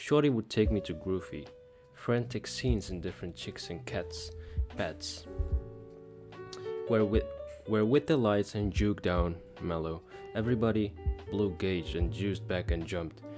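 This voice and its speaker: Music plays in the background. In a Dutch accent, the speaker talks at a moderate pace with lively intonation and long, frequent pauses. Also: man, very deep, low pitch for a man. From Netherlands. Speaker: English learner. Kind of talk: book read-aloud practice. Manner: halting, with repeated words.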